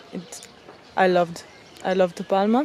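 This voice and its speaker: A woman with an Italian accent speaks at a medium pitch over noticeable background noise. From Italy. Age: 20s. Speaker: travel vlogger. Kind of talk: casual vlog narration. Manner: halting, with fillers.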